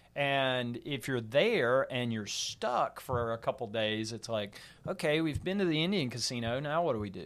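On a very clean recording with a silent background, a man with an ordinary speaking voice talks at a moderate pace and medium pitch, his intonation lively and hardly any pauses between words. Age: 40s. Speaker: football writer. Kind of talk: casual chat.

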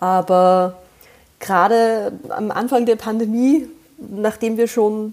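A woman with a slight Austrian accent speaks at a fairly high pitch with ordinary pitch variation. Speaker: podcast guest, mother. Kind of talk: casual chat.

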